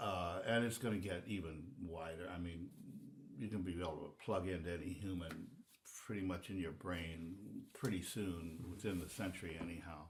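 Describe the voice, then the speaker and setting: Room echo is audible around a man with a very deep, low pitch. His somewhat breathy delivery keeps a moderate pace and fairly even intonation. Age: 80s+. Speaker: composer and music teacher. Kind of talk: casual interview conversation. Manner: halting, with many fillers.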